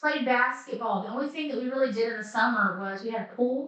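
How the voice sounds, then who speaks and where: A woman speaks at a moderate pace in a high-pitched voice with a bright, sharp tone. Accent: Appalachian. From Southwest Virginia, Appalachia. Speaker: life coach. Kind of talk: casual talk to camera.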